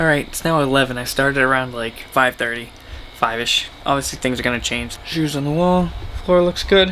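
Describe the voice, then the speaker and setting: The speaker has an American accent and talks at a moderate pace with ordinary pitch variation. Noticeable background noise runs underneath. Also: man. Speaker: vlogger. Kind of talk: casual vlog. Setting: at home, bedroom. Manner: casual, rambling; quiet, hushed.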